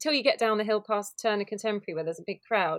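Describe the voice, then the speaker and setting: Delivered at a very fast pace, the speech comes in a southern English accent. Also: woman. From Kent, southeast England. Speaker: pride organiser. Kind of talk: casual chat.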